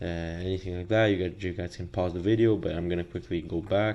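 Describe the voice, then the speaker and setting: A man's very deep, low voice with a non-native accent. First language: not English. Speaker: business teacher. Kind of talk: lecture. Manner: hesitant with many fillers.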